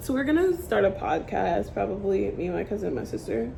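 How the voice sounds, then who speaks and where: An animated tone at a moderate pace, with audible room echo and noticeable background noise. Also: woman. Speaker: beauty vlogger, aspiring makeup artist. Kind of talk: casual vlog chat while doing makeup. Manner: loud; rambling, animated.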